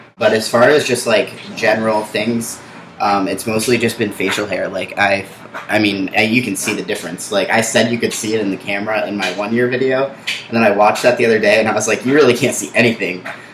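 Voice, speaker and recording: This man talks very fast with fairly even intonation, noticeable noise behind him. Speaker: vlogger documenting gender transition. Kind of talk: casual vlog update. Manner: hesitant, many fillers.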